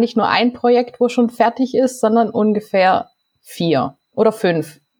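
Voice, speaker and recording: At a moderate speed, a woman talks in a fairly high pitch with a plain, everyday voice. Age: 30s. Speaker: novelist. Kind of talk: casual interview.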